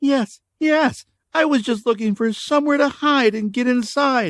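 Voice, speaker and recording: A put-on character voice from a man, extremely high-pitched and anxious in tone, with ordinary pitch variation, a moderate pace and a dry, close sound with no echo. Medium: read story. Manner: anxious, pleading.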